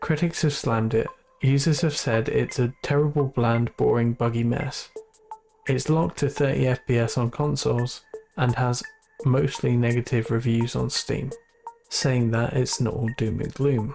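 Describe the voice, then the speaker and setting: The speaker talks at a moderate pace with music in the background. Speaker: gaming YouTuber. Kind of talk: video game review narration.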